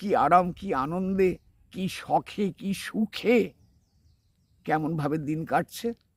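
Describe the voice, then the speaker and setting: The recording is dry and close, with no echo. A man talks at a high pitch, his pitch varying in an ordinary way. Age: old. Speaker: spiritual teacher. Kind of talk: spiritual talk.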